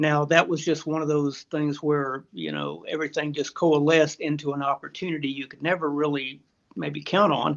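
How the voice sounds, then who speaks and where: A man with a Texan accent, fairly high in pitch, monotone and flat in intonation, at a moderate pace. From Texas, central hill country. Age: 60s. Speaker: retired magazine editor and hunter. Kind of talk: interview.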